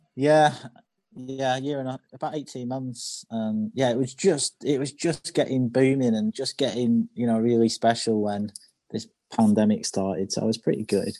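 In a dry, close recording with no echo, a man with a northern English accent speaks at a moderate pace with medium pitch, ordinary pitch variation, and a dark, mellow tone. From northern England. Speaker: chef. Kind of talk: interview, personal story.

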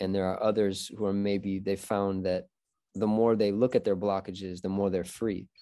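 A man's dark, mellow voice with an American accent, fairly low in pitch and monotone and flat, at a fairly quick pace. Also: quiet background. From Michigan, US Midwest. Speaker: podcast host. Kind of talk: casual chat. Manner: halting.

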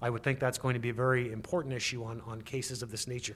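This is a man with a normal speaking voice. His pitch is medium and his pace fairly quick. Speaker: lawyer. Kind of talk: interview about mask rules.

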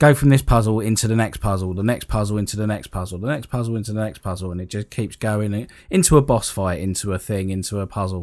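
Over a very clean recording with a silent background, a man talks at a very fast pace with ordinary pitch variation. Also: fairly low pitch for a man, hardly any pauses. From northern England, Sheffield. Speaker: podcast guest, gamer. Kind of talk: casual chat.

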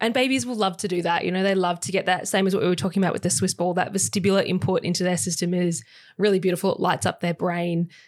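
Speech races along at a very fast pace while the intonation remains fairly even. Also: woman. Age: 20s. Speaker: chiropractor. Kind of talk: casual chat.

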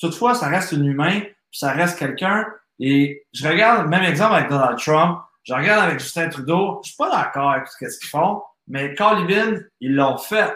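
With a bright, sharp tone and a high pitch, a man speaks at a moderate pace with lively intonation and big swings in loudness, and audible room echo fills the space. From Quebec. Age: 30s. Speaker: entrepreneur and business coach. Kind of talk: podcast interview.

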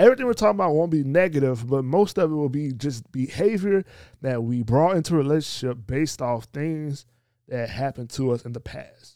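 A man with a fairly high pitch talks at a fairly quick pace, his tone dark and mellow. His intonation is lively, and the recording is very clean over a silent background. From rural area, country. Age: 20s. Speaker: podcast co-host. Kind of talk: casual chat.

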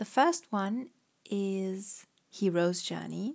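A woman speaks very slowly at a medium pitch with ordinary pitch variation. She has a slight German accent. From Germany. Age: 20s. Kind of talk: casual chat.

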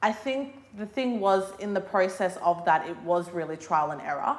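A woman speaks in an Australian accent. There is noticeable background noise. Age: 20s. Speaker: hair salon owner. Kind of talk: casual interview. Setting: hair salon.

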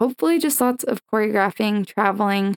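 A woman's normal speaking voice at medium pitch with an American accent and ordinary pitch variation, dry and close with no echo. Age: 20s. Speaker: professional cheerleader and dancer. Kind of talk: interview conversation.

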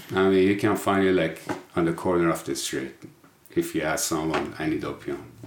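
In a Persian accent, a man talks at a very deep, low pitch and a moderate pace with ordinary pitch variation. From Iran. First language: Persian (Farsi). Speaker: person in addiction recovery. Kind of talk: interview.

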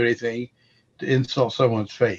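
An unremarkable speaking voice from a man, mid-pitched and fairly brisk. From Missouri. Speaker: apologetics ministry member. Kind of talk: casual roundtable discussion. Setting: phone or video call.

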